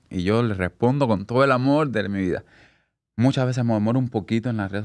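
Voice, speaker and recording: The background is quiet. A man speaks at a very fast pace with ordinary pitch variation. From Cuba, Havana; Cuba. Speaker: hairstylist; podcast guest. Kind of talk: casual interview. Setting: studio. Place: studio. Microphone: studio mic.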